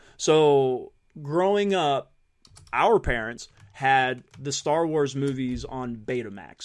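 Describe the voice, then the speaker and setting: Lively intonation marks this man's fairly high-pitched, normal speaking voice as he goes at a fairly slow pace. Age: 40s. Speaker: podcast host. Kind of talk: casual chat.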